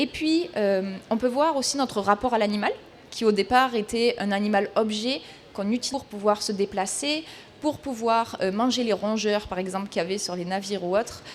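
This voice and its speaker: A woman with a southern French accent speaks at a moderate pace, her fairly high pitch showing ordinary variation. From southern France. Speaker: equestrian consultant, speaker. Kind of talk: talk at a trade fair.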